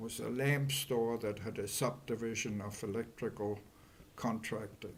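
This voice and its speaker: A man with a German accent, medium pitch and monotone, flat intonation at a moderate pace. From Germany. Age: 80s+. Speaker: Holocaust survivor. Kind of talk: oral history interview. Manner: halting.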